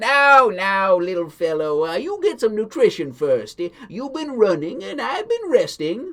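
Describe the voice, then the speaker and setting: Using a put-on character voice, a man speaks at a high pitch and a moderate pace with hardly any pauses. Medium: read story. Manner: folksy, hesitant "uh" fillers.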